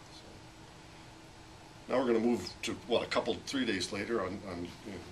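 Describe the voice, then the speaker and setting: The somewhat breathy voice moves at a fairly quick pace with ordinary pitch variation and big swings in loudness, over audible room echo. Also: man. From Pennsylvania, US. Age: 60s. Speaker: war veteran. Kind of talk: casual chat. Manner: halting.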